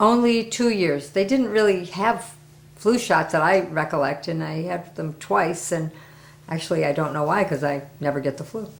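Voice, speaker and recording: Using a plain, everyday voice, a woman speaks at a moderate pace with a fairly low pitch and lively intonation. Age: 60s. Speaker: testimonial giver, interpreter. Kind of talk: interview testimony.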